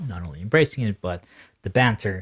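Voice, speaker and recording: In a very clean recording with a silent background, a man speaks at a very fast pace, somewhat breathy. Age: 20s. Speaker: podcast host. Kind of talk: casual chat. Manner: animated.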